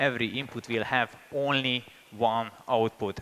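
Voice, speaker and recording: A man speaks with a Hungarian accent. His intonation stays fairly even. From Hungary. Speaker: software engineer and conference speaker. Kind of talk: conference talk. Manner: hesitant, many fillers.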